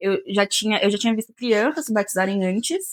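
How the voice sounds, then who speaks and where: A woman has an ordinary speaking voice at a fairly high pitch and a moderate pace. The sound is dry and close, with no echo. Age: 20s. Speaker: podcast guest. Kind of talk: casual chat.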